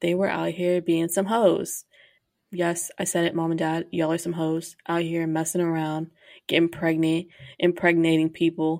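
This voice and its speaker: This woman speaks in a monotone with flat intonation, using an American accent at a fairly low pitch, on a very clean recording with a silent background. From Texas, Grand Prairie (Dallas area). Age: 20s. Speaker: podcast host. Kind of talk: casual monologue. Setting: home studio.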